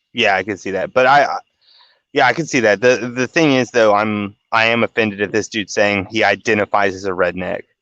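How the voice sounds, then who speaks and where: In a quiet setting, a man with a fairly low voice and a bright, sharp tone talks at a fairly quick pace with ordinary pitch variation. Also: dry, close sound with no echo. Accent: Southern US. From US South. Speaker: podcast host. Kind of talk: casual chat.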